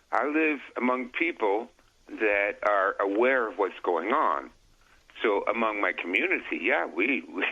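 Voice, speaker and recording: A man with a Canadian accent speaks at a fairly slow pace. His loudness stays very even. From Canada. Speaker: political commentator. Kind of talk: casual interview chat.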